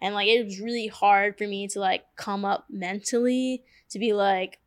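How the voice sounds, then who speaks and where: With an American accent, this is a normal speaking voice at a fairly slow pace with ordinary pitch variation, captured on a very clean recording with a silent background. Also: woman. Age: 20s. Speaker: tattoo artist. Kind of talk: casual chat. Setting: tattoo studio.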